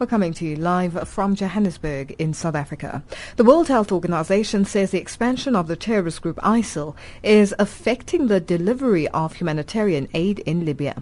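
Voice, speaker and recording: A woman talks in an ordinary speaking voice at a medium pitch. She goes at a fairly quick pace with lively intonation. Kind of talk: radio newsreading, live broadcast bulletin intro. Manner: formal, measured, clear broadcast delivery.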